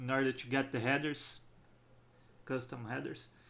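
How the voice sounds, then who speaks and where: A man with a strong non-native accent. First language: not English. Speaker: game developer. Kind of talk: tutorial. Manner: halting.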